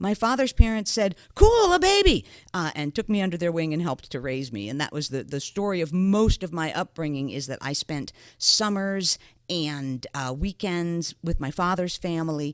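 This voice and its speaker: Over a very clean, silent background, a woman with an American accent and an ordinary speaking voice talks at a moderate pace in a fairly low pitch, with lively intonation and big swings in loudness. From New York area. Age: 60s. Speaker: podcast co-host. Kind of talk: personal storytelling in a podcast.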